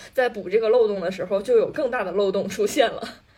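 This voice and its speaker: A woman speaks at a fairly high pitch against noticeable background noise. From Northeast China. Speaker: podcast co-host. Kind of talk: casual chat.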